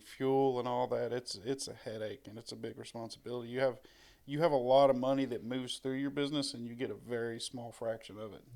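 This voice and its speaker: A man with a medium pitch and fairly even intonation speaks at a very fast pace. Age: 30s. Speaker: Marine veteran. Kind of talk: casual chat.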